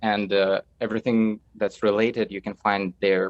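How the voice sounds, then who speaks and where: This man has a Russian accent and a fairly low pitch, speaking at a moderate pace with monotone, flat intonation. The sound is dry and close, with no echo. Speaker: film director. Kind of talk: casual chat.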